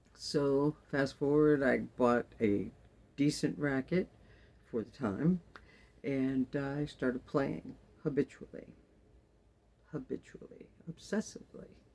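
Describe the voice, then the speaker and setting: Long, frequent pauses break up speech that moves very slowly. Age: 60s. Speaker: pickleball vlogger. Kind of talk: casual vlog narration.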